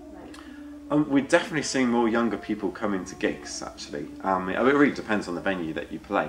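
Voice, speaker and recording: Very fast delivery from a man at medium pitch, with very wide pitch swings, big swings in loudness and light background noise. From Devon, England. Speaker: folk musician and radio presenter; radio presenter. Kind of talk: interview. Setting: backstage at a folk club. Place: empty room.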